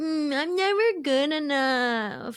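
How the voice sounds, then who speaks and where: Put on as a character, the voice is high-pitched and whiny, with a whiny tone throughout. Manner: pouty, whiny, sulky.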